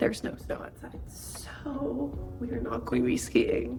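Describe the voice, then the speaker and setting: Noticeable background noise fills the recording. A woman talks over it at a fairly slow pace. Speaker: lifestyle vlogger. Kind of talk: casual vlog talk to camera.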